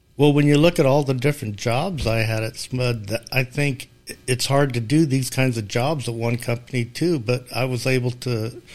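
A man at a moderate pace, medium in pitch with fairly even intonation, music in the background. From Sacramento, California. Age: 60s. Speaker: parishioner. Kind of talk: casual interview.

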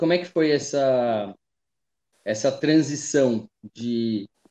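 Dry and close with no echo, a man of medium pitch speaks in a dark, mellow tone with ordinary pitch variation. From Taubaté, São Paulo state, Brazil. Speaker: podcast host. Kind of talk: casual interview chat. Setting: at his mother's house.

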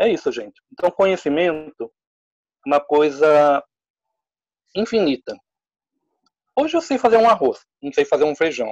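A man's fairly high voice with very wide pitch swings, at a fairly slow pace, in a dry, close recording with no echo. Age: 50s. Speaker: drama teacher. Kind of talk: casual chat.

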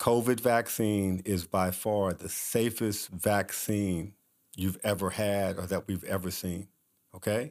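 A man with an American accent and an unremarkable speaking voice, fairly low in pitch, at a fairly slow pace with fairly even intonation, on a very clean recording with a silent background. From Kansas City, US Midwest. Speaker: physician. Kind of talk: interview.

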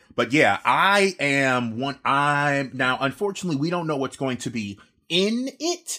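A man's loud, bright, sharp voice at a fairly high pitch, with lively intonation and a fairly slow pace, on a very clean recording with a silent background. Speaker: gaming podcast co-host. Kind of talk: casual chat. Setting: home office.

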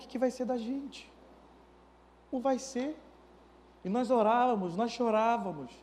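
Audible room echo surrounds a man whose voice sits at an extremely high pitch. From Manaus, Brazil. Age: 30s. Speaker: pastor. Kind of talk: sermon.

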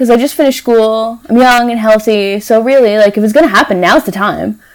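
A woman with a normal speaking voice talks at a fairly high pitch and a fairly quick pace. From Newfoundland, Canada. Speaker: cancer survivor. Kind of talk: interview.

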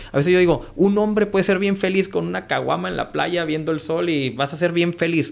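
The man speaks at a fairly quick pace with hardly any pauses. His pitch is high, with ordinary variation. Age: 30s. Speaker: business owner. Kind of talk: casual interview.

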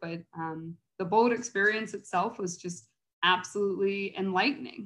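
Speaking with an American accent, a woman uses a medium pitch at a moderate pace. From Cincinnati, Ohio, US Midwest. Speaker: early childhood resource coordinator at a nonprofit. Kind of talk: interview.

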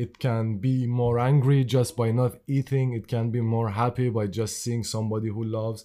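A man talks with hardly any pauses, his intonation monotone and flat. His voice sits at a medium pitch with a dark, mellow tone. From Iran. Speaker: artist and drummer. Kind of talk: casual chat. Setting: in-person recording on camera with mics. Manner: slow talker.

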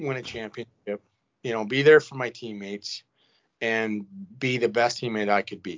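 Here a man speaks at a medium pitch. His pitch variation is ordinary. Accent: Canadian Prairies. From Saskatchewan, Canada. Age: 40s. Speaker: retired hockey player. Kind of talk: casual chat. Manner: halting.

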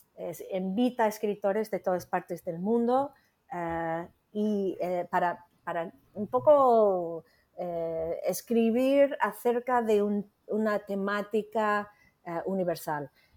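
A woman with an American accent at a medium pitch, very slow, with ordinary pitch variation, in a very clean recording with a silent background. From United States. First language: English (speaking Spanish). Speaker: literary editor. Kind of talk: interview. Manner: halting.

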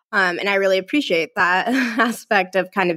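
A woman's medium-pitched voice with a bright, sharp tone, a moderate pace and ordinary pitch variation, on a very clean recording with a silent background. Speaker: therapist and podcast co-host. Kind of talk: casual interview.

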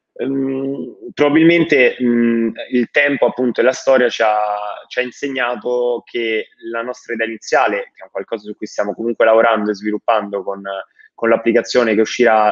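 Here is a man with a normal speaking voice and a medium pitch. He keeps a moderate pace and fairly even intonation. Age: 20s. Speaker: startup founder. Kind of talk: interview.

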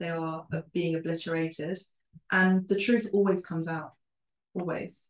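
Speaking with a London accent, a woman uses a fairly low pitch and fairly even intonation at a moderate pace, with long, frequent pauses. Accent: British English, London. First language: Spanish and Italian. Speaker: podcast host. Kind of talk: casual interview.

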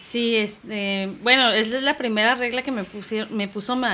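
Speaking at a fairly slow pace, a woman with an ordinary speaking voice uses a fairly high pitch and ordinary pitch variation. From Tijuana, Mexico (born in Irapuato, Guanajuato). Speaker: singer. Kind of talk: interview.

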